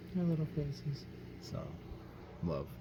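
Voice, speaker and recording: With audible room echo, a man speaks in a somewhat breathy voice with very wide pitch swings. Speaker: doll collector YouTuber. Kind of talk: casual vlog. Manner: hesitant, many fillers.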